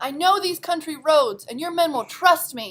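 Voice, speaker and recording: A woman's put-on character voice at an extremely high pitch, lively in intonation, moderate in pace, with big swings in loudness. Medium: read story. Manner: bold, determined.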